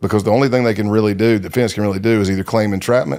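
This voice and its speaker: On a very clean recording with a silent background, a man with a Texan accent speaks in a fairly low pitch with fairly even intonation. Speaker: retired undercover agent. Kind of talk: interview. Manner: casual, digressive.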